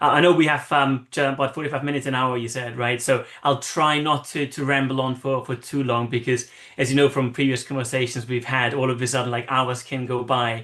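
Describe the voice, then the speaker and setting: In an Austrian accent, the bright, sharp voice moves at a fairly quick pace with hardly any pauses. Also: man, medium pitch for a man. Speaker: marketing consultant. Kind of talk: interview. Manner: animated.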